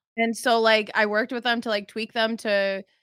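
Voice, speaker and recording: Over a silent background in a very clean recording, a woman with an unremarkable speaking voice talks at a fairly quick pace and fairly high pitch, the sound dry and close with no echo. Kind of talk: casual chat.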